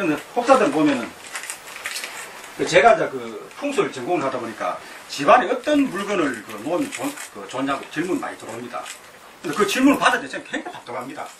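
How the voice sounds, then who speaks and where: A man speaks at a high pitch and a fairly quick pace, with very wide pitch swings, big swings in loudness, and long, frequent pauses. Noticeable background noise and audible room echo fill the recording. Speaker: feng shui lecturer. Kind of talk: lecture. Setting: lecture hall with audience. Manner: halting, many fillers.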